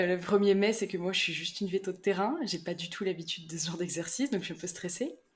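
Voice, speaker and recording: A woman at medium pitch talks at a very fast pace with hardly any pauses. Her loudness swings widely. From rural France. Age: 30s. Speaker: rural veterinarian. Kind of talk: podcast interview.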